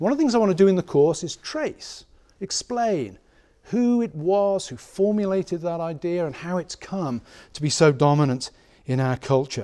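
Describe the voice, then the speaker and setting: With an English accent, a man talks at a moderate pace in a high pitch, his dark, mellow tone carrying lively intonation on a very clean recording with a silent background. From England. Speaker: professor. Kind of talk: lecture. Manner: conversational, with hesitations.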